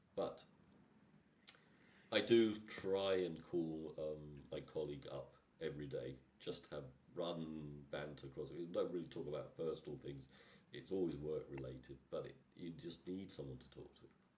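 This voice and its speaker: A man's very deep, low voice has ordinary pitch variation and big swings in loudness at a moderate pace. Long, frequent pauses break it up, and audible room echo surrounds it. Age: 60s. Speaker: engineer, technical director. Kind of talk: podcast interview. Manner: halting.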